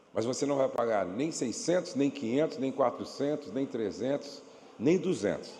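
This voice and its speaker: With lively intonation and a dark, mellow tone, the voice moves at a moderate pace through audible room echo. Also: man, fairly high pitch for a man. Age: 60s. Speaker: pastor and marriage speaker. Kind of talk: church workshop talk; sales pitch. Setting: church with audience and PA system. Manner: not shouting, moderate volume.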